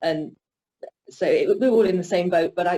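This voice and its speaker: Somewhat breathy, a woman speaks at a moderate pace. Her pitch is fairly low. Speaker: mature university student. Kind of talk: panel discussion. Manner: halting, with repetitions.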